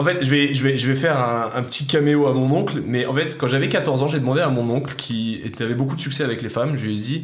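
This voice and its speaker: A man at medium pitch talks very fast with hardly any pauses, with audible room echo and noticeable background noise. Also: fairly even intonation. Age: 20s. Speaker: former soldier. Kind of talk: casual chat.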